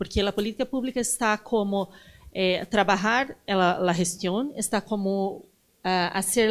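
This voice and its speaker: A woman with a Portuguese accent at medium pitch, very slow pace and fairly even intonation, on a very clean recording with a silent background. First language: Portuguese (speaking Spanish). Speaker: design policy consultant. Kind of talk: panel talk. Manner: halting.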